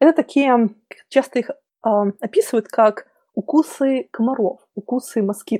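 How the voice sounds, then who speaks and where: With a fairly high pitch and ordinary pitch variation, a woman speaks in a dark, mellow tone, the sound dry and close with no echo. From Belarus. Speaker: diversity speaker from IT. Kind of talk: interview. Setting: remote call from home.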